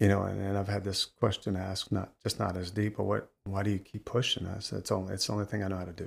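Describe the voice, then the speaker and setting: A man's fairly low, somewhat breathy voice in a monotone, flat intonation. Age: 50s. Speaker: fitness trainer and bodybuilder. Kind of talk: casual interview. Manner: halting, with frequent fillers.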